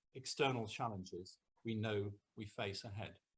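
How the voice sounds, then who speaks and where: A man is speaking. His voice is somewhat breathy. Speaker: senior local government official. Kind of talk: formal speech. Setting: video call. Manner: formal. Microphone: too quiet for some listeners.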